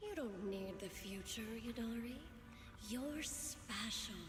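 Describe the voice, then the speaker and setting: Through clear echo and loud background noise, a woman does a put-on character voice at a fairly high pitch and a fairly slow pace. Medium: video game. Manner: smooth, coaxing.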